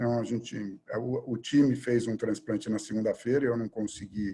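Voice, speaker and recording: Medium in pitch, a man speaks with a dark, mellow tone and fairly even intonation. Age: 60s. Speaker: surgeon and hospital director. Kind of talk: interview conversation. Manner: hesitant, many fillers.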